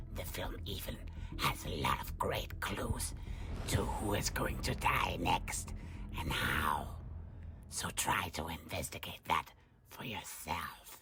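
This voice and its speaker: A raspy, cartoonish character voice goes at a fairly slow pace over light background noise. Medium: puppet.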